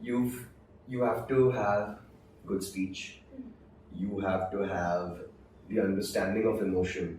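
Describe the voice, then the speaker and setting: With a dark, mellow tone and a somewhat breathy quality, a man speaks at a very slow pace with ordinary pitch variation. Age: young. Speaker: voice actor. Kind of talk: interview answer.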